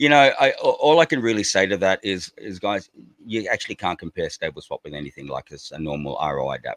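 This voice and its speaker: In an Australian accent, a man speaks at a very fast pace with big swings in loudness, in a dry, close sound with no echo. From Australia (Darwin, Northern Territory). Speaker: crypto project representative. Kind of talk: podcast interview. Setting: live stream. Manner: casual, repetitive.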